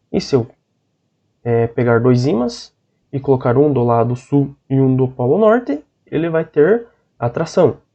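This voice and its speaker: A man talks at a fairly slow pace, leaving long, frequent pauses. His pitch is medium, with ordinary variation. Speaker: teacher. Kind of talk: online lecture.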